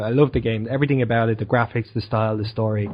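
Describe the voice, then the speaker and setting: A man speaks with an Irish accent. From Ireland. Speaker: podcast co-host. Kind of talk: casual chat.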